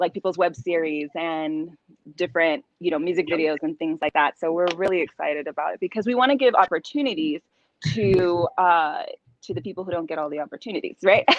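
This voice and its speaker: The speaker has a Californian accent and a fairly quick pace, with ordinary pitch variation. Loudness swings widely, and the sound is dry and close with no echo. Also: woman. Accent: Californian American English. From Southern California. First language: Spanish. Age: young. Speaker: actress. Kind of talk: interview.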